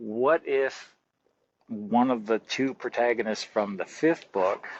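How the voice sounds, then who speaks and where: The man's voice sits at a medium pitch with ordinary pitch variation. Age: 60s. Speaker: horror author. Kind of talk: interview. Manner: animated.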